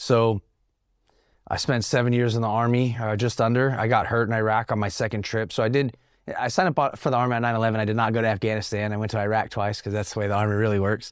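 A man with an American accent talks at a very fast pace and medium pitch. His intonation is fairly even, and the recording is very clean with a silent background. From Northern California. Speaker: army veteran and nonprofit founder. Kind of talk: casual interview.

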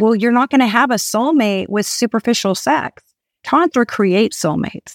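An ordinary speaking voice at a moderate pace, with ordinary pitch variation, very even loudness and a dry, close sound with no echo. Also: woman, fairly high pitch for a woman. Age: 50s. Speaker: tantra coach and registered nurse. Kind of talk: casual chat. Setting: in person, at a home.

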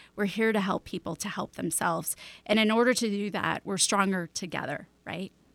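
A woman with an American accent speaks in a plain, everyday voice at medium pitch, at a fairly quick pace with ordinary pitch variation, in a dry, close recording with no echo. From Chicago. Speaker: esthetician, hypnotherapist and medium. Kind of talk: interview conversation. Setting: Skype call.

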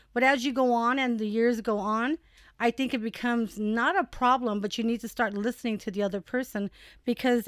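In a very clean recording with a silent background and a dry, close sound with no echo, a woman talks at a moderate pace. Her voice is fairly high and an unremarkable speaking voice, with ordinary pitch variation. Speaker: mother guest co-host, works with students. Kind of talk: casual chat.

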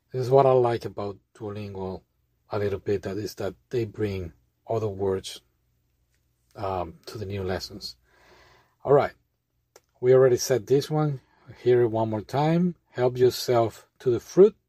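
A man with a medium pitch and a dark, mellow tone speaks at a fairly slow pace with ordinary pitch variation, big swings in loudness, and long, frequent pauses. The recording is very clean, with a silent background. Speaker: language learning vlogger. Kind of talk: tutorial. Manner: casual, laughing.

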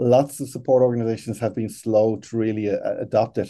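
A man speaks with an Irish accent and a dark, mellow tone. His intonation is fairly even, and the background is quiet. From Ireland. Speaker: customer support executive. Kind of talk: interview.

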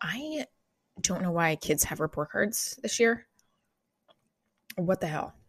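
A woman puts on a raspy character voice at a medium pitch, with very wide pitch swings. She moves at a fairly slow pace with long, frequent pauses. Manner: grumbling, annoyed.

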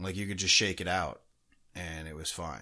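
Speaking at a moderate pace in a bright, sharp tone, a man is heard on a very clean recording with a silent background. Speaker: hockey podcast co-host. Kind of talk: casual chat.

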